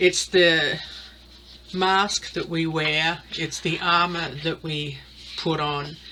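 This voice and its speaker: A very slow delivery with an Australian accent, monotone, flat intonation, long, frequent pauses and noticeable background noise. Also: woman, fairly low pitch for a woman. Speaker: tarot reader. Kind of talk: casual monologue, tarot reading. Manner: halting, many fillers.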